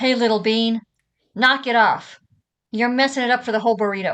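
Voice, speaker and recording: A woman uses a booming, put-on character voice at a fairly high pitch with monotone, flat intonation. She talks at a fairly quick pace against a quiet background. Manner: scolding, authoritative.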